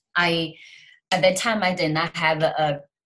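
In a Chinese accent, a woman speaks fairly slowly with a fairly low pitch and fairly even intonation. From China. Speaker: author and success coach. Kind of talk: interview.

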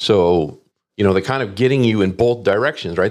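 A man with an ordinary speaking voice, fairly low in pitch with ordinary pitch variation, is heard in a very clean recording with a silent background. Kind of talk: interview.

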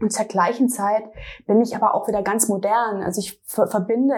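Her intonation fairly even, a woman speaks. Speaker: fashion designer. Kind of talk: interview. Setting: designer's studio.

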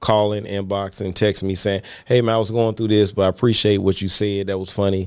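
Fairly low-pitched male voice with a Southern US accent, on a very clean recording with a silent background. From Mississippi. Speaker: comedian. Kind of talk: casual chat.

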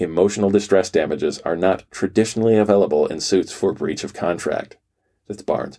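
The very clean recording with a silent background carries a man speaking at a fairly quick pace, fairly low in pitch, with a dark, mellow tone and fairly even intonation. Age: 40s. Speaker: law student and podcaster reading court opinions. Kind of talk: reading aloud. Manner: hesitant, with fillers.

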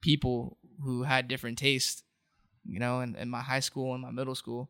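This is a plain, everyday voice with an American accent. The pace is moderate. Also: man. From Southern California, Orange County. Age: 20s. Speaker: rapper and singer. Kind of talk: casual chat. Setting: studio.

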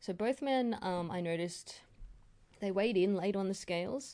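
A woman speaks with an Australian accent. Her tone is dark and mellow against a quiet background. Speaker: mixed martial arts podcaster. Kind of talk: solo fight recap. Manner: hesitant, many fillers.

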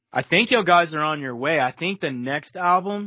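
A man speaks in a fairly high voice. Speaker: podcast co-host. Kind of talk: casual interview.

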